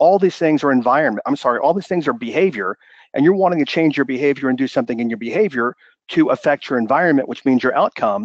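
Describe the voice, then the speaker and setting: Speaking at a very fast pace, a man with a fairly high pitch sounds energetic, his intonation lively. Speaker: business mindset coach. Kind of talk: webinar presentation. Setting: live webinar broadcast.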